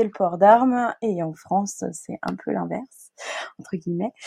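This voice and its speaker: This woman has a dark, mellow tone at medium pitch. She speaks at a fairly slow pace. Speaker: record label founder. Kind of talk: interview. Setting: remote recording.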